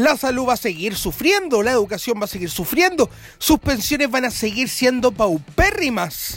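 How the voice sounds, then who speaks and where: With an extremely high pitch and very wide pitch swings, a man speaks at a moderate pace over noticeable background noise. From Chile, Rancagua. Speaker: radio host and journalist. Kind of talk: radio commentary monologue.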